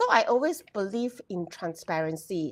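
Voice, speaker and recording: A woman speaks with a Malaysian accent. Her pitch swings very widely. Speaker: HR professional. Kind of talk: casual chat. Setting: live stream. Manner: loud.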